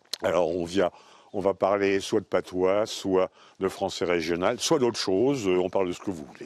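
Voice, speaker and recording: A man talks in a very deep, low pitch with ordinary variation, keeping a moderate pace against a quiet background. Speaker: retired linguist. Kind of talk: casual conversation on location. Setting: outdoors.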